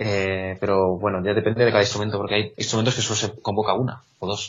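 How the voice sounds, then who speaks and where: A man speaks at a very fast pace with a fairly low pitch. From Spain, Salamanca. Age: young. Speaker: blind music student, trainee conductor. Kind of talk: interview. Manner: halting.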